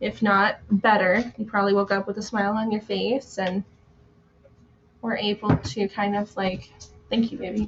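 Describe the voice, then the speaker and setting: There is noticeable background noise as a woman speaks at a medium pitch and a moderate pace. Her intonation is fairly even, broken by long, frequent pauses. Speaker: tarot reader live streamer. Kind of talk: casual live stream chat. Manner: chatty.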